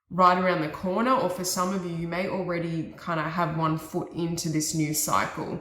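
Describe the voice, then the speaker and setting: Speech at a moderate pace with hardly any pauses and fairly even intonation. The room echo is audible, and there is noticeable background noise. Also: woman, fairly low pitch for a woman. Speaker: tarot reader. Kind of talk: tarot reading.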